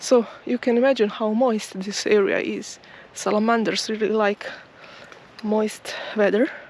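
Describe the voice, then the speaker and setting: A woman talks with a fairly high pitch and fairly even intonation. There are long, frequent pauses and noticeable background noise. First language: not English. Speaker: nature vlogger. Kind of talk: walking vlog narration. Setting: outdoors. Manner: slow-paced; halting.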